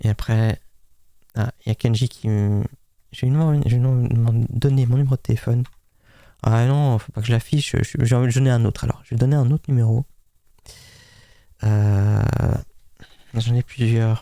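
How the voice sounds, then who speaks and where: Dark and mellow in tone, a man talks at a moderate pace with fairly even intonation and long, frequent pauses. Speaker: streamer scambaiting a scammer. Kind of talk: live stream commentary. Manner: halting.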